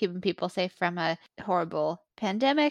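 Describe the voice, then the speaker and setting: A woman talks at a moderate pace in an unremarkable speaking voice. The sound is dry and close with no echo, over a quiet background. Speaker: podcast co-host.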